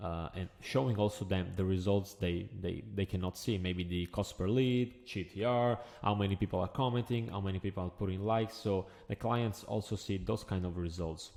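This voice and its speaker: In a very clean recording with a silent background, a man with an Italian accent speaks at a fairly low pitch in a dark, mellow tone with fairly even intonation. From Italy. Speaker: agency owner, business coach. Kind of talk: tutorial. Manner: hesitant, filler-heavy.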